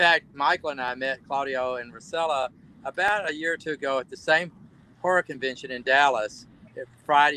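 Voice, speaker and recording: In a Southern US accent, a man with a fairly high pitch and a bright, sharp tone talks at a fairly quick pace, with ordinary pitch variation, big swings in loudness, and a dry, close sound with no echo. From US South, Alabama. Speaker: actor. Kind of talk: casual chat. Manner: halting.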